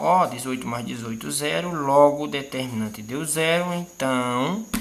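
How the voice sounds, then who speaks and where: Speech at a fairly slow pace comes through over noticeable background noise. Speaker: math teacher. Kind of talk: tutorial.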